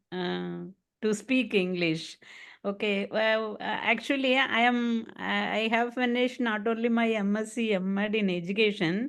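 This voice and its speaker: A Tamil accent at a fairly slow pace, fairly even in intonation, against a quiet background. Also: woman. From Tamil Nadu, India. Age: 60s. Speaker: retired education official and yoga teacher. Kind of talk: online English practice interview. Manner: halting, many fillers.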